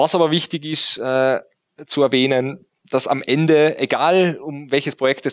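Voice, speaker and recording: A man speaks with fairly even intonation. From Austria, Tyrol. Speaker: IT forensics consultant. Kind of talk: interview. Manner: halting, many filler sounds.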